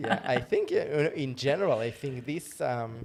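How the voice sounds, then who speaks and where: Speaking with a non-native accent, a man talks at a fairly slow pace. His pitch is medium. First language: not English. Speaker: live stream host. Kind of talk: casual chat.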